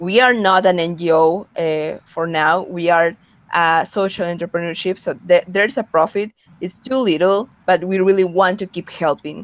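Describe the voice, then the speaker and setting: A woman with a fairly low pitch speaks at a moderate pace with ordinary pitch variation. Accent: Spanish. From Peru. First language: Spanish. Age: young. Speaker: young social entrepreneur. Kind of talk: webinar talk. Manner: halting, frequent repetitions and fillers.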